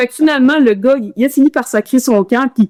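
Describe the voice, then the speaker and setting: In a Quebec accent, a woman talks fairly quickly in an animated tone with ordinary pitch variation, her sound dry and close with no echo. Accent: Quebec French accent audible in English. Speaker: ultramarathon runner. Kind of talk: casual interview storytelling. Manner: animated, hesitant with many repetitions.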